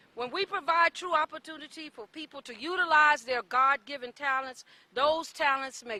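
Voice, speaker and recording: A woman's raised, projected voice, high-pitched and lively in intonation, with big swings in loudness, hardly any pauses, and a dry, close sound with no echo. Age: 60s. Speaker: nonprofit director. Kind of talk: public speech at press conference. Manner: formal.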